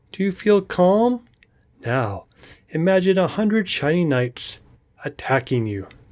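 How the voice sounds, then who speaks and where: A squeaky put-on character voice at middle pitch, fairly slow, with long, frequent pauses and a quiet background. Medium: read story. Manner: timid, stammering.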